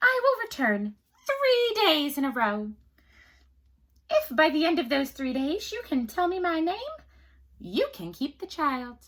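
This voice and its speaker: Cackling in a put-on character voice at an extremely high pitch, a woman speaks at a fairly slow pace with very wide pitch swings and long, frequent pauses. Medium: read story. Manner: smug, gloating.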